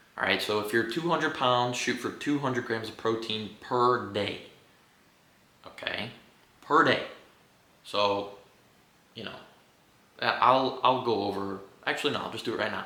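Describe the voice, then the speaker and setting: Amid noticeable background noise and audible room echo, a man at a medium pitch talks at a moderate pace with ordinary pitch variation and long, frequent pauses. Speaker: fitness YouTuber. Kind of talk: casual unscripted monologue. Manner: profane, animated; stumbling over words.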